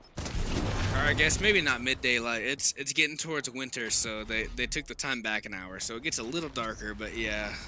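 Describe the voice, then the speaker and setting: Over noticeable background noise, a man speaks at a moderate pace with ordinary pitch variation and hardly any pauses. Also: medium pitch for a man. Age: 20s. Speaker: gaming streamer. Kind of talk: casual chat.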